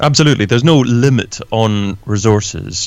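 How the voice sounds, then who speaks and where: This man has a Scottish accent. His pitch varies in an ordinary way. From Scotland. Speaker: podcaster and online entrepreneur. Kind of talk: interview. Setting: home office.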